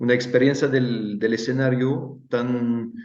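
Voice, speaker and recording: The speaker has a non-native accent, heard with audible room echo. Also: man. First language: Italian (speaking Spanish). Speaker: stage designer, workshop teacher. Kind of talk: online interview. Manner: halting, many fillers and repetitions.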